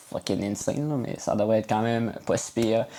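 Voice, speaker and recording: Speech comes at a medium speed. It carries a Quebec accent. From Quebec, Saguenay-Lac-Saint-Jean (Alma). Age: 20s. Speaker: youtuber and music producer. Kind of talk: casual vlog. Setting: home bedroom. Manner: hesitant, many filler words.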